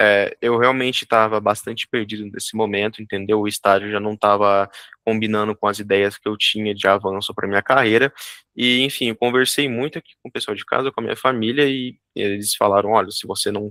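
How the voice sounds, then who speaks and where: A man speaks fairly quickly in a fairly low voice, his tone bright and sharp and his intonation fairly even. The sound is dry and close with no echo, in a very clean recording over a silent background. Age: 20s. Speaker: junior software developer and student. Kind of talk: interview.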